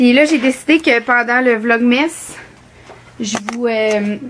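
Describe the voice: Slowly, a woman speaks at a fairly high pitch in a fairly bright tone, her pitch varying in an ordinary way.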